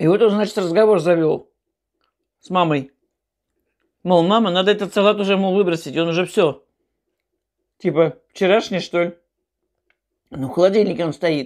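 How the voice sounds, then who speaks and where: The background is quiet as a woman talks at a moderate pace. She leaves long, frequent pauses, and her pitch variation is ordinary. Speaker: mukbang vlogger. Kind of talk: casual storytelling while eating. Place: home room. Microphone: earbuds.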